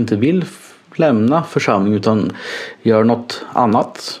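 With noticeable background noise, a man speaks at a fairly slow pace. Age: 30s. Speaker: nurse. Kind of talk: personal monologue. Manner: halting.

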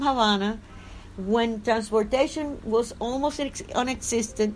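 With a Spanish accent, a woman speaks fairly slowly at a high pitch with ordinary pitch variation. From Cuba. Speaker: dissident journalist. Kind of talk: interview. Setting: at home. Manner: halting.

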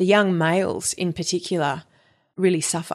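A woman with an Australian accent talks at a fairly slow pace, her medium-pitched voice monotone and flat. The background is quiet. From Perth, Western Australia. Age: 30s. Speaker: musician and menstrual cycle educator. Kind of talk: casual interview chat. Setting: her home loft.

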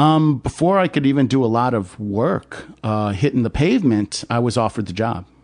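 A man with a normal speaking voice talks at a moderate pace with hardly any pauses. His medium pitch moves with lively intonation. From upstate New York. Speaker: adventurer. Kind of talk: casual chat. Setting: host's home.

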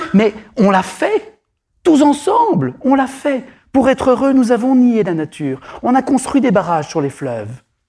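A man speaks at a fairly slow pace in a dark, mellow tone, his extremely high pitch swinging very widely. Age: 50s. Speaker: psychotherapist and author. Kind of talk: public talk. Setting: stage with audience. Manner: halting.

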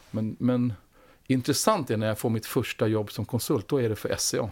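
A man speaks at a moderate pace with a normal speaking voice. His pitch is medium and his intonation fairly even. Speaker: former food company CEO. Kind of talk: interview.

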